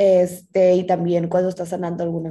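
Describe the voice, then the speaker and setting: This woman has a fairly low pitch and a dark, mellow tone. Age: 20s. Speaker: menstrual health specialist. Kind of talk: interview.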